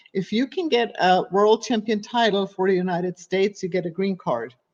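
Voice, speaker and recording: A woman with a German accent speaks at a medium pitch. Her pace is moderate, with ordinary pitch variation. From Germany. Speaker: fitness coach and personal trainer. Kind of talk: podcast interview. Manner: animated.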